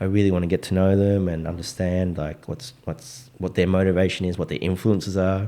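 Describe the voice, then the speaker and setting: A man with an Australian accent speaks at a fairly quick pace with hardly any pauses. His very deep, low pitch has a dark, mellow tone and ordinary pitch variation. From Australia, Melbourne (Richmond), Vietnamese Australian. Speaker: DJ. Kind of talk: casual chat.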